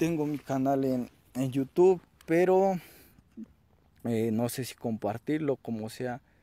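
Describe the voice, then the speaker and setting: Very slow speech in a central Mexican accent, with a dark, mellow tone and ordinary pitch variation, comes through as a dry sound with no echo. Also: man. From Mexico, State of Mexico (Toluca area); State of Mexico. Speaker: aspiring entrepreneur vlogger. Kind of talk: self-introduction vlog. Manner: halting, many fillers. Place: open country.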